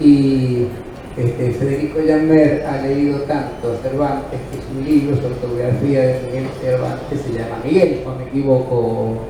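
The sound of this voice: A man speaks at a moderate pace and a medium pitch, with few pauses. His intonation is fairly even, and audible room echo surrounds him.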